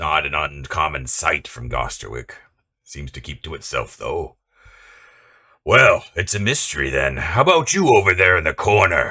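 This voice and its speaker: In a put-on character voice, a man growls out raspy, very deep, low-pitched lines with big swings in loudness. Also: moderate pace. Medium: actual play. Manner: snobbish, clipped.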